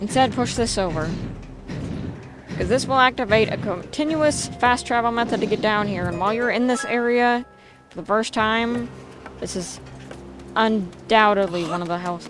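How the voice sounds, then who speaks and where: Music plays in the background and audible room echo surrounds a woman with a fairly high pitch, whose speech has long, frequent pauses. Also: ordinary pitch variation, moderate pace. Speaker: gaming YouTuber. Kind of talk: let's play commentary. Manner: stumbles over words.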